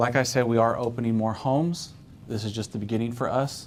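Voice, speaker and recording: The speaker is a man with a medium pitch. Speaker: care home founder giving a presentation. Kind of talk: business presentation. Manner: fast.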